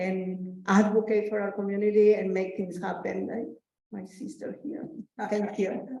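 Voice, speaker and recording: With audible room echo, a woman speaks at medium pitch with fairly even intonation. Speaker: community advocate. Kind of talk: personal testimony.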